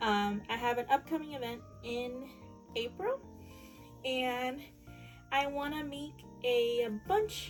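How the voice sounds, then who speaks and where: Music plays in the background as a woman speaks at a fairly slow pace. Her pitch is high and her intonation lively. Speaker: small business crafter. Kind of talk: casual talk to camera. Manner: hesitant, many fillers.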